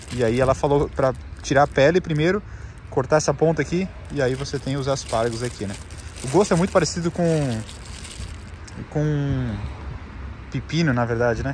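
A man talks very fast at a fairly high pitch with ordinary pitch variation, breaking often into long pauses. The sound is dry with no echo, and light background noise can be heard. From Brazil. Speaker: travel vlogger. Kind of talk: casual vlog narration. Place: street. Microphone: phone near.

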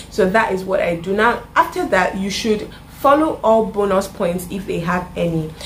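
A woman speaks at a medium pitch with a Nigerian accent. Her pace is moderate, with light background noise behind her. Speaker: YouTuber; vlogger. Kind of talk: casual vlog tutorial. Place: home room.

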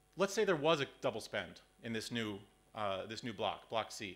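Over light background noise, a man speaks with lively intonation and a bright, sharp tone. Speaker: conference presenter. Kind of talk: lecture. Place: hall.

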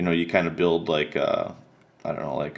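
A man talks in a very deep, low pitch. His intonation is flat and monotone. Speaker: autograph collector vlogger. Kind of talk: casual video recap. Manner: hesitant, many fillers. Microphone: phone near.

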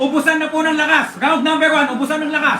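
A man's raised, projected voice at an extremely high pitch and very fast pace, with noticeable background noise. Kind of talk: live sports commentary. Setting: watching a live boxing match. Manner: excited, shouting and animated, calling each punch in real time; fast, punchy, choppy delivery with interjections and filler.

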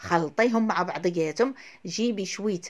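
Lively intonation marks the speech of a woman with a Moroccan accent. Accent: Moroccan Arabic (Darija). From Morocco. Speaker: cooking video host. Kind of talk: cooking tutorial. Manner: fast, chatty. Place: kitchen. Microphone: phone near.

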